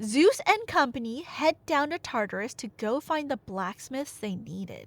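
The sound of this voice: A woman speaks at a fairly slow pace with a fairly high pitch. Her intonation is lively.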